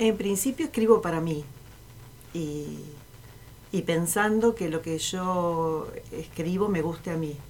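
Her pitch is fairly low and varies in an ordinary way. The woman talks at a very slow pace, with long, frequent pauses. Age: 60s. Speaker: writer, retired teacher. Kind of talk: reading aloud own fiction; casual interview.

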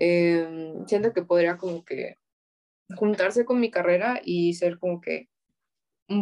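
A woman's fairly low voice at a very slow pace, with fairly even intonation and a dry, close sound free of echo. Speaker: university student. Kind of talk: casual chat. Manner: stutters.

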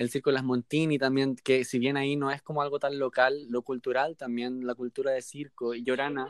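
In a dry, close recording with no echo, a man speaks at a moderate pace and medium pitch with flat, monotone intonation. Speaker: podcast co-host. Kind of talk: casual chat. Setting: video call.

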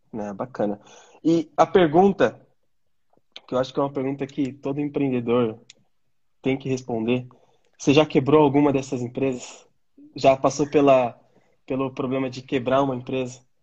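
A man with a dark, mellow tone speaks at a medium pitch and moderate pace. His intonation is fairly even, with long, frequent pauses. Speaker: channel host. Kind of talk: casual interview. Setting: online live stream.

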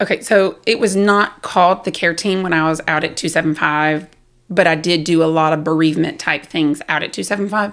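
In a Southern US accent, a woman speaks at a moderate pace with a fairly low pitch and fairly even intonation, recorded very cleanly against a silent background. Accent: Southern US, noticeable. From South Carolina. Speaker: army spouse and veteran. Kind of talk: casual interview storytelling.

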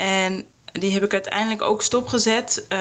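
A woman speaks at a medium pitch. Noticeable background noise runs underneath. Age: 20s. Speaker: yoga teacher with a visual impairment. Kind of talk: testimony.

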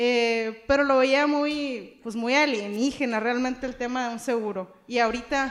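At a fairly slow pace with hardly any pauses, a woman speaks in a high pitch with fairly even intonation. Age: 30s. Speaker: insurance agent. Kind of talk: podcast interview.

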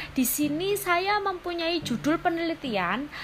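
Noticeable background noise is present. The woman talks very slowly. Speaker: university student presenting a group assignment. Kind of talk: tutorial. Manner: casual.

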